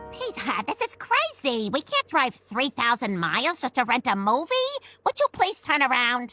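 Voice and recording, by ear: A woman puts on a cartoonish character voice, high in pitch with very wide pitch swings, at a moderate pace. Faint music plays behind the dry, close sound with no echo.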